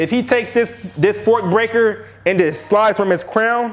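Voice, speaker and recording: A man with a high voice, ordinary pitch variation and a moderate pace, amid noticeable background noise. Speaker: hair care YouTuber. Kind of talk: tutorial. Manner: casual.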